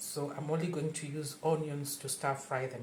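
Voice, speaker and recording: A woman with a Kenyan accent and a very deep, low pitch, fairly slow and monotone, with audible room echo and noticeable background noise. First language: Luo. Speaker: home cook. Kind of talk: cooking tutorial.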